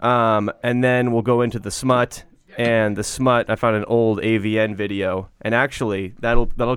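A man with an American accent speaks at a moderate pace and medium pitch, his intonation monotone and flat, with hardly any pauses. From Washington state, US. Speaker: podcast host. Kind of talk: casual chat.

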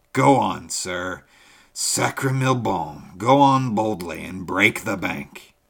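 In a put-on character voice, hoarse and very slow, the speaker's loudness swings widely. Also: man, fairly low pitch for a man. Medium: read story. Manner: effusive, flattering, excitable.

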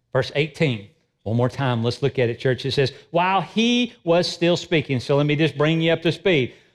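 Using an ordinary speaking voice, a man talks at a fairly high pitch and moderate pace with lively intonation over a quiet background. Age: 50s. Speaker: pastor. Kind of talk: sermon. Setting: church.

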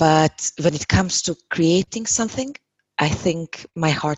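With a Hungarian accent, a woman speaks at a very deep, low pitch. Her intonation is lively and her pace fairly slow. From Hungary. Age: 30s. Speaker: yoga teacher. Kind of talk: casual interview.

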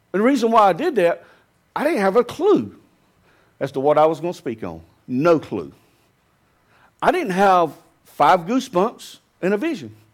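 Speaking at a moderate pace with a Southern US accent, a man with high pitch makes very wide pitch swings and takes long, frequent pauses. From US South. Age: 50s. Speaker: pastor. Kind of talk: sermon. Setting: church.

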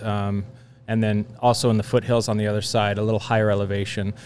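A man with an American accent speaks at a medium pitch. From Napa Valley, California. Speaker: winemaker. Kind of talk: casual chat.

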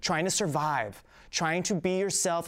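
A man with a high pitch and an American accent, in a very clean recording with a silent background. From South Jersey, Philadelphia suburbs. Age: 30s. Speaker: filmmaker and acting teacher. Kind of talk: casual interview.

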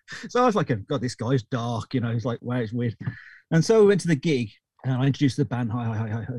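Speaking at a very fast pace in a British accent, a man with a medium pitch and a somewhat breathy voice shows ordinary pitch variation against a quiet background. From Britain. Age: 50s. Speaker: recording engineer. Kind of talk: interview. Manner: halting.

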